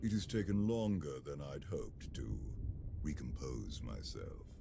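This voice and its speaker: A man puts on a character voice at a moderate pace while loud background noise plays. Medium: video game. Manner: calm, measured.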